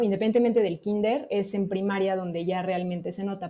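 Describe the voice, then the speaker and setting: On a very clean recording with a silent background, a woman with a dark, mellow tone and medium pitch talks at a moderate pace with fairly even intonation. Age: 30s. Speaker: medical doctor. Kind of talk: testimony.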